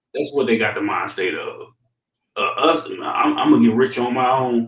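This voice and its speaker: Over music in the background, the speaker talks at a moderate pace. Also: man. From Louisiana. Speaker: podcast co-host. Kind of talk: casual chat. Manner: animated.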